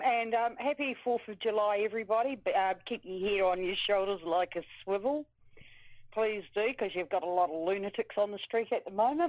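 Someone with a New Zealand accent speaks at a fairly quick pace. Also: woman, medium pitch for a woman, ordinary pitch variation. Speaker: caller. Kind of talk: phone call-in.

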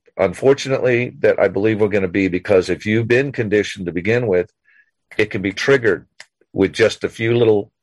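The man's pitch is medium and his pace is very fast. The sound is dry and close, with no echo. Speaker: military veteran and caller. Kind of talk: casual chat. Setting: phone call.

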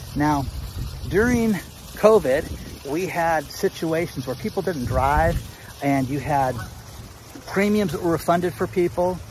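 A man with a fairly high pitch speaks with lively intonation. He pauses long and often, and background noise is noticeable. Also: fairly slow pace. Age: 50s. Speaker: YouTube commentator on real estate and economy. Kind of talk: casual monologue. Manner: animated.

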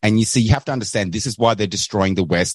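With an Australian accent, a man speaks in a fairly low pitch and fairly even intonation, the sound dry and close with no echo over a quiet background. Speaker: caller, online show host. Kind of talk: call-in commentary.

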